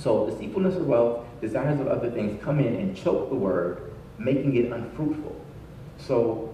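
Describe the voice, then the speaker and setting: A man is heard with audible room echo. Light background noise runs underneath. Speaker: pastor. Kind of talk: sermon. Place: church.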